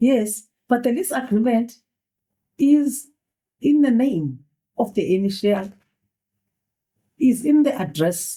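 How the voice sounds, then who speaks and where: Speaking very slowly with long, frequent pauses, a woman with a non-native accent uses a high pitch, a dark, mellow tone and lively intonation. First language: not English. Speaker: judge. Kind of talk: courtroom questioning. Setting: courtroom.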